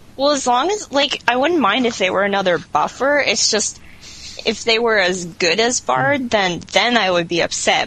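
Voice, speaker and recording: A woman at a moderate pace, lively intonation, noticeable background noise around her. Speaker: online game player. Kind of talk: casual chat.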